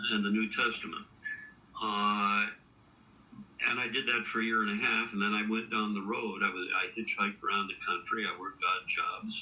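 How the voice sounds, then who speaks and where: Noticeable background noise around a man's moderately paced speech with an American accent. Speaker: poet. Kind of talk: interview. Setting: live video stream. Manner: halting, many fillers.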